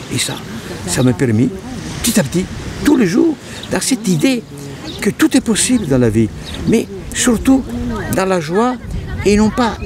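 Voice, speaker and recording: A man talks at a moderate pace with very wide pitch swings. Noticeable background noise sits behind him. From northern Italy, near Venice. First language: Italian (speaking French). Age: 80s+. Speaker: painter. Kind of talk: personal testimony. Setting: outdoors by the sea. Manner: halting.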